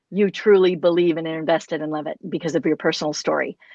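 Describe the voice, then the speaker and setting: Fairly low for a woman, her voice is an ordinary speaking voice with an American accent and fairly even intonation at a fairly quick pace. The sound is dry and close with no echo, over a quiet background. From United States. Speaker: podcast host, music curriculum founder. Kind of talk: interview conversation.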